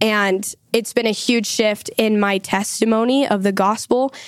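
A woman's normal speaking voice, fairly high-pitched and fairly slow, with a dry, close sound and no echo. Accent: American. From Utah. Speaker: university student. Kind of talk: podcast interview.

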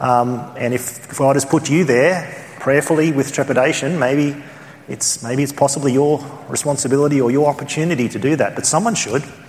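With an Australian accent, a man talks at a fairly quick pace and a fairly high pitch, his intonation fairly even over noticeable background noise. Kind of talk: conference teaching. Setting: church conference.

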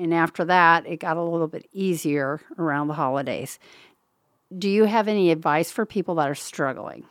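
A woman with a normal speaking voice talks at a moderate pace, her pitch fairly low with ordinary pitch variation, on a very clean recording with a silent background. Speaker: podcast co-host and author.

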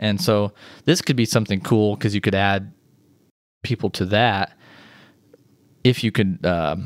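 Fairly low in pitch, a man speaks with an American accent at a moderate pace, taking long, frequent pauses, with ordinary pitch variation. The sound is dry and close with no echo, on a very clean recording with a silent background. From Missouri. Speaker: web developer. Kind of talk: casual chat.

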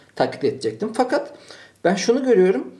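The man's tone is dark and mellow. His words come fairly quickly. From Turkey, Malatya then Ankara. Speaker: podcast host. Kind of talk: casual chat.

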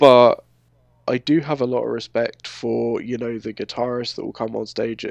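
A man speaks with a London accent at a moderate pace. The sound is dry and close, with no echo. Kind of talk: casual chat.

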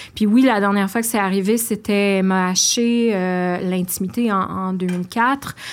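A woman speaks at a medium pitch and a fairly slow pace, with hardly any pauses. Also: fairly even intonation. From Outaouais, Quebec. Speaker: playwright. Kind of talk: interview. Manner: halting.

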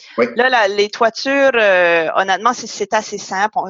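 A woman with a normal speaking voice, medium pitch and ordinary pitch variation. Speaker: podcast host. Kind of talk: interview.

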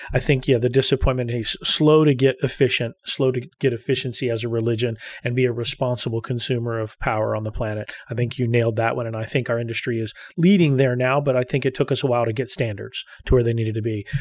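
A man talks very fast in a medium pitch. His intonation stays fairly even. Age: 50s. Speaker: podcast host, data center executive. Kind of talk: interview.

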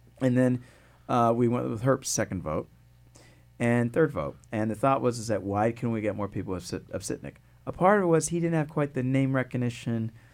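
Over a silent background on a very clean recording, a man with a plain, everyday voice speaks at a fairly quick pace and a medium pitch. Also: lively intonation. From Connecticut, West Hartford. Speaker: political science professor. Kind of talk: interview.

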